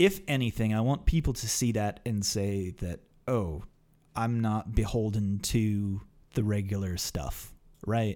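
Over a very clean, silent background, a man speaks at a fairly low pitch and fairly slow pace. His tone is dark and mellow. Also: ordinary pitch variation. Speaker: podcast host. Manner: joking.

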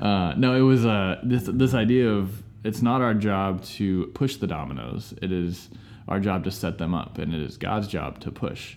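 At a moderate pace, the speaker uses lively intonation, with audible room echo around the voice. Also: man, fairly low pitch for a man. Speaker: aspiring overseas missionary. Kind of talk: casual chat. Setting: church building, lawnmower outside.

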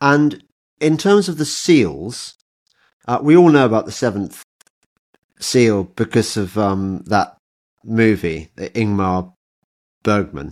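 In an English accent, a man speaks at a very slow pace with a fairly low pitch, very wide pitch swings, and long, frequent pauses, on a very clean recording with a silent background. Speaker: podcast host. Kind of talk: casual interview, includes sponsor read.

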